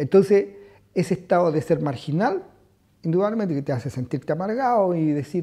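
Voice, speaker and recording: Lively in intonation, a man speaks at a fairly quick pace with a high pitch and a dark, mellow tone. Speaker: exile interviewee. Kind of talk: documentary interview.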